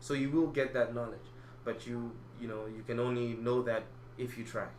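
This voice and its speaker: Amid noticeable background noise and audible room echo, a man speaks at a moderate pace in a medium pitch with monotone, flat intonation. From Malawi. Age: 20s. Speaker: acting student. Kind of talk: interview. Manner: halting.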